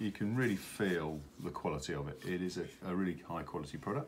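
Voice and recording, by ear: His pitch moves up and down in an ordinary way. The man speaks at a moderate pace.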